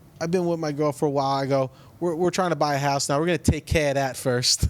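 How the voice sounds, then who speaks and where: At a fairly quick pace, an ordinary speaking voice carries on. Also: man. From New Jersey. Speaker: comedian and podcast host. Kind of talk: casual chat.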